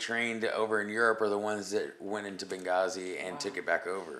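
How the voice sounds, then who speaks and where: A man speaks at a fairly quick pace in a fairly low pitch. His tone is bright and sharp. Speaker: musician and Marine veteran. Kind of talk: interview conversation.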